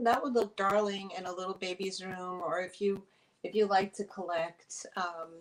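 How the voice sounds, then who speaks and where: In an American accent, a woman speaks fairly slowly at a medium pitch with fairly even intonation. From New York, Eastern Long Island. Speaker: online vintage seller. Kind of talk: live sales stream. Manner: chatty, hesitant with fillers.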